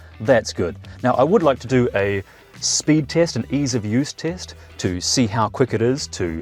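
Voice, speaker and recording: Music plays in the background as a man with a New Zealand accent speaks at medium pitch, making very wide pitch swings. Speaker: electric car reviewer. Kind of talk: car review walkaround. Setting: car launch event. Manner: fast; animated.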